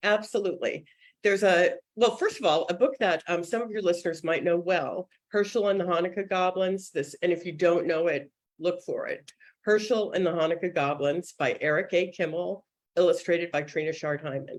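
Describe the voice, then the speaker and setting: Talking at a fairly quick pace, a woman uses a fairly low pitch with ordinary pitch variation. She has an American accent. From US Northeast (suburban Boston). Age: 60s. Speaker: children's book editor. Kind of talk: interview. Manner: fast.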